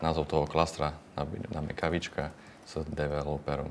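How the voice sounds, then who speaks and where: A man speaks with a very deep, low pitch. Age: 20s. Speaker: data engineer. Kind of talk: tutorial.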